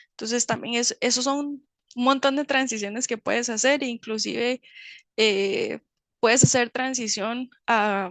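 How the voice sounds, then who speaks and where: The sound is dry and close with no echo over a quiet background as a woman with a high pitch speaks fairly slowly. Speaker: chemist in medical device industry. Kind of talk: webinar Q&A talk. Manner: hesitant, many fillers.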